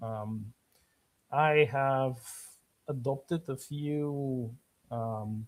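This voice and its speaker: In a Bulgarian accent, a man speaks very slowly with long, frequent pauses, a medium pitch and fairly even intonation, in a very clean recording with a silent background. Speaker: author. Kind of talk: casual chat. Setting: live stream. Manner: halting, many fillers.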